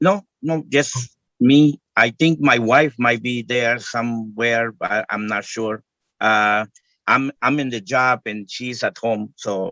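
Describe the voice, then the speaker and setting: A man with a non-native accent speaks at a very slow pace, his medium-pitched voice bright and sharp in tone. The sound is dry and close, with no echo. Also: ordinary pitch variation. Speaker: homeowner applicant at zoning board. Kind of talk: testimony at public hearing. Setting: video call from work. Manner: halting, hesitant.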